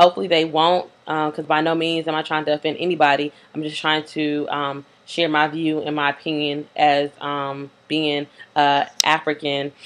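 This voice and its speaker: A woman speaks in a very deep, low pitch with monotone, flat intonation. Her pace is moderate and the background is quiet. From US South, Greensboro, North Carolina. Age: 20s. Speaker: video blogger. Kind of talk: casual monologue. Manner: hesitant, many fillers.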